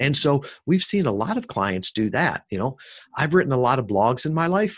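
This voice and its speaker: A man with an American accent, fairly high-pitched, his voice swinging very widely in pitch at a moderate pace, on a very clean recording with a silent background. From US Midwest, Chicago suburbs. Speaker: podcast marketing entrepreneur, Navy veteran. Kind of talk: podcast interview.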